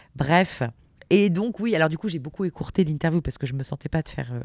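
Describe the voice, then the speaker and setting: A woman talks at a very fast pace. Her pitch is very deep and low, with ordinary variation. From eastern and southwestern France (Meuse, Gers). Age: 30s. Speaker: radio and TV presenter. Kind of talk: interview. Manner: natural and relaxed, laughs often.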